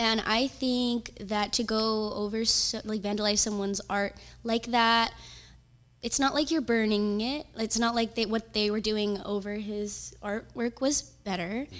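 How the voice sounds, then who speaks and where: A woman's plain, everyday voice, fairly high in pitch, with fairly even intonation at a fairly slow pace. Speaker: mural artist. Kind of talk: casual interview.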